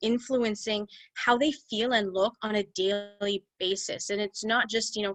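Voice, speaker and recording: A woman's fairly high voice with ordinary pitch variation, dry and close with no echo, over a quiet background. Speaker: holistic nutritionist. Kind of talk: webinar talk. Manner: halting, fumbles for words.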